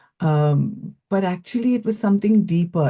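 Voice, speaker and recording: Over a quiet background, a woman speaks at a moderate pace in a dark, mellow, somewhat breathy tone with lively intonation. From India (Goa). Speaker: psychologist and speaking coach. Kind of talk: interview.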